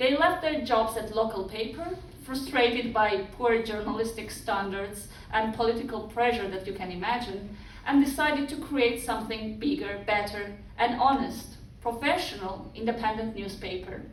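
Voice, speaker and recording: A woman speaks at a moderate pace with a fairly high pitch and ordinary pitch variation. Noticeable background noise and audible room echo fill the recording. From Georgia, Batumi. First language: Georgian. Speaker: speaker on press freedom. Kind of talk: public speech.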